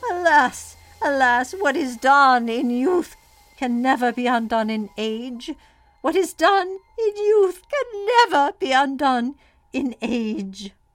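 Putting on a character voice, a woman speaks high and at a fairly slow pace, with very wide pitch swings and music in the background.

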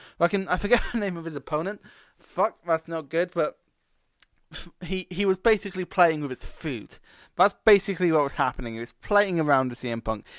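In a Scottish accent, a man with a high pitch talks fairly quickly in an animated tone with lively intonation, recorded very cleanly against a silent background with a dry, close sound and no echo. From Scotland. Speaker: wrestling podcast host. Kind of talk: solo casual podcast review.

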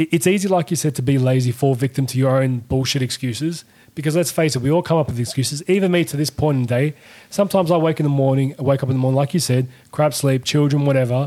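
With an Australian accent, a man with a fairly high pitch rattles along at a very fast pace, using ordinary pitch variation. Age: 30s. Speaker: tradesman and podcast guest. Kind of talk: casual chat. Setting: studio.

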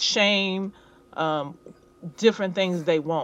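Here is a woman with an ordinary speaking voice. Her pitch is medium, with ordinary pitch variation. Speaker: podcast co-host. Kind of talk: casual chat.

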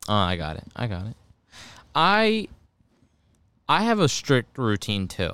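A man talks at a fairly slow pace with long, frequent pauses. The recording is very clean, with a silent background. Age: 20s. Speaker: podcast co-host. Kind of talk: casual chat. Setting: home studio. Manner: loud.

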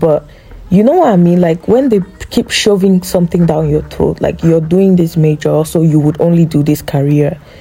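Against noticeable background noise, a woman speaks at a fairly low pitch. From Cameroon. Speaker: podcast host, content creator. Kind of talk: casual monologue.

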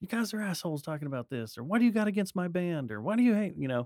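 A man's high voice with very wide pitch swings at a very fast pace, dry and close with no echo. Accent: American. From Texas, Dallas-Fort Worth area. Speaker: podcaster and musician. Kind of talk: casual chat.

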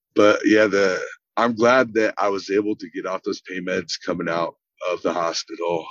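The sound is dry and close, without echo, as a man talks at a moderate pace. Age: 30s. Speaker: burn survivor. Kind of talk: interview.

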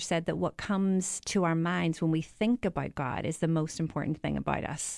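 In a very clean recording with a silent background, a woman with a fairly low pitch speaks at a moderate pace in an Irish accent. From Ireland. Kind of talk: conversational discussion. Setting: studio.

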